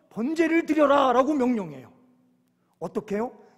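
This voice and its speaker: A man with a Chungcheong accent, extremely high in pitch, with ordinary pitch variation. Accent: Chungcheong dialect, slow speech. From Korea, Chungcheong (Yesan). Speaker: pastor. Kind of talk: sermon. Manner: slow; occasional stammer.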